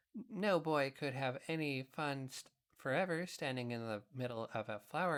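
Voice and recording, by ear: The background stays quiet while someone reads aloud in a natural voice.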